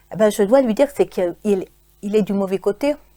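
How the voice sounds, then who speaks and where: A woman speaks in a fairly high voice. Her tone is dark and mellow. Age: 60s. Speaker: church member giving testimony. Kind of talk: testimony. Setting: church studio broadcast. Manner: halting, many repetitions.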